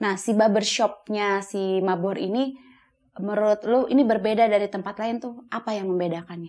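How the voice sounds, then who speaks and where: A woman's voice at a moderate pace against a quiet background. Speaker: talk show host. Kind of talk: interview; interview questions and show hosting. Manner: animated. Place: studio.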